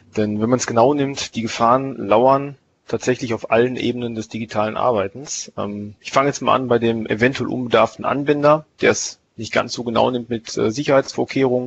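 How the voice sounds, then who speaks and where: Using a plain, everyday voice, a man speaks at medium pitch and a fairly quick pace with fairly even intonation. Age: 30s. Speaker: IT team leader. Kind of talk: expert interview on IT security.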